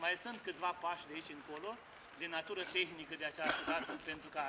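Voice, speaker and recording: Over loud background noise, a man speaks at a very fast pace. His pitch is fairly high, and his intonation is fairly even. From Romania, Botoșani county (Moldavia); Romania. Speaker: parliamentary candidate; candidate. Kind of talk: campaign speech. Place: street. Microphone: camera far.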